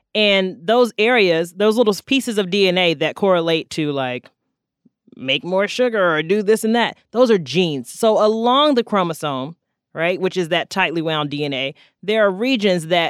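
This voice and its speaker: In a normal speaking voice, a woman with an American accent talks at a moderate pace with medium pitch and lively intonation. The recording is very clean and dry, close with no echo and a silent background. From North Carolina. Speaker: podcast co-host, science explainer. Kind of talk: casual chat with science explanation.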